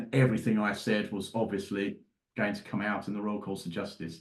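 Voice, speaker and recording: Speaking at a fairly low pitch, a man lets his pitch vary in an ordinary way. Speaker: forensic psychologist. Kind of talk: interview. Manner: fast; halting.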